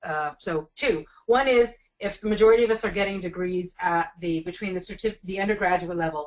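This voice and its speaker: A woman's medium-pitched voice, fairly quick, with ordinary pitch variation. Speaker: education policy researcher presenting a report. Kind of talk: webinar presentation and Q&A. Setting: webinar call. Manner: fast.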